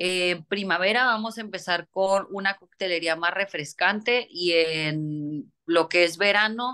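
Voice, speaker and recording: Very slowly, a woman speaks at a fairly low pitch in a bright, sharp tone over a quiet background. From Mexico, Tijuana (border); Mexico. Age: 30s. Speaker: chef. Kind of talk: interview. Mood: calm, thoughtful. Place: home room. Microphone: phone near.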